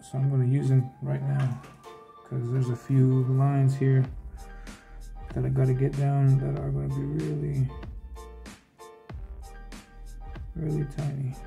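Long, frequent pauses at a moderate pace, with clear music in the background. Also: man. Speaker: comic artist. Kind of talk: casual tutorial commentary.

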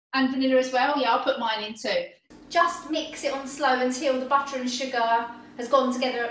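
Light background noise and audible room echo surround a woman speaking at a high pitch and a moderate pace. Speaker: baking teacher. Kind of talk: tutorial. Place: kitchen.

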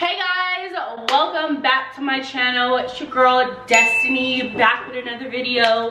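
A raised, projected voice comes through at a fairly slow pace with ordinary pitch variation over noticeable background noise. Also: woman. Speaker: vlogger. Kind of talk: casual vlog chat. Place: home room. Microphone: camera far.

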